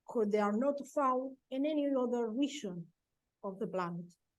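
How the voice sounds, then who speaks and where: With a Spanish accent, a woman speaks at a fairly slow pace in a high pitch. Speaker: professor. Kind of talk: conference presentation. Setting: webinar. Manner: halting.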